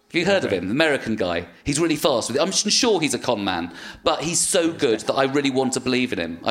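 Very fast speech from a man with a British accent and very wide pitch swings. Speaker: comedian and actor. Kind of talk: casual chat.

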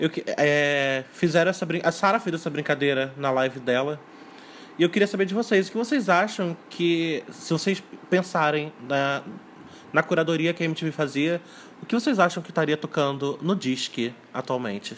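A man with an unremarkable speaking voice talks at a moderate pace, fairly high in pitch with ordinary pitch variation. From Rio de Janeiro state, Brazil (São Gonçalo). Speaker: music YouTube channel producer. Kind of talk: casual chat.

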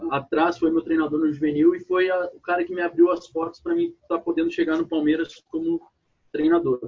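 High in pitch, a man talks at a moderate pace with fairly even intonation. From southern Brazil, Porto Alegre. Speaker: youth basketball coach. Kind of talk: casual interview.

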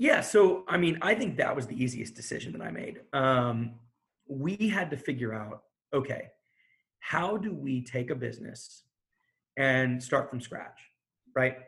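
Fairly slow, lively speech in an American accent, with vocal fry, big swings in loudness and long, frequent pauses. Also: man, medium pitch for a man. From Houston, Texas. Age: 30s. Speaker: bar and restaurant owner. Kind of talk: interview conversation.

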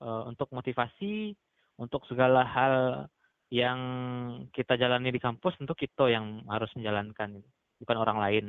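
A man speaks at a medium pitch, fairly slowly, with ordinary pitch variation. It is a normal speaking voice. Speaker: student leader. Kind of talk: casual interview.

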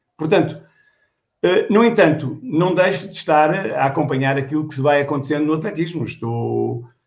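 A man with a fairly high voice speaks at a moderate pace, somewhat breathy, with ordinary pitch variation, big swings in loudness, and audible room echo. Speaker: retired athletics coach, former Olympic hurdler. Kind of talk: casual chat.

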